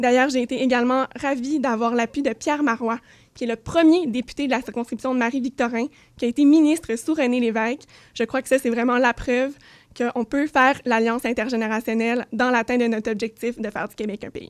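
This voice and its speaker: The voice moves at a fairly quick pace with fairly even intonation but big swings in loudness. The recording is very clean with a silent background and a dry, close sound with no echo. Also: woman, high pitch for a woman. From Quebec, South Shore of Montreal. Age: 20s. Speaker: political candidate. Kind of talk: candidate debate statement. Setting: radio studio.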